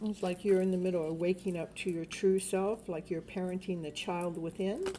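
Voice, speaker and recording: With noticeable background noise, a woman speaks at medium pitch in a monotone, flat intonation. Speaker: tarot reader. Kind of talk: live stream tarot reading. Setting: home live stream at night. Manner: loud; lowered voice.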